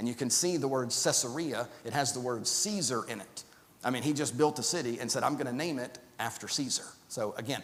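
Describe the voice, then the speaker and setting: Audible room echo around a man of medium pitch with ordinary pitch variation. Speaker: Bible class teacher. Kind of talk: Bible class lecture. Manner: halting, many fillers and repeats.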